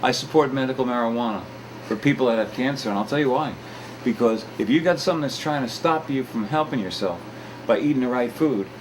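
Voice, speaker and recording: Over noticeable background noise, a man talks at a very fast pace. His pitch varies in an ordinary way. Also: medium pitch for a man. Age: 60s. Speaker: talk show host. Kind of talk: casual chat. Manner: halting.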